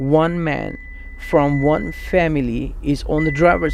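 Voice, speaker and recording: A man talks in a room with audible echo, and noticeable background noise is present. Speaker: true crime narrator. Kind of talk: true crime narration.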